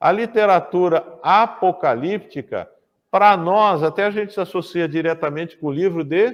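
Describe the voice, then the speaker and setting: The speaker is a man with a high voice. He varies his pitch in an ordinary way. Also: moderate pace. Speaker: pastor teaching Bible class. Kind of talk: lecture.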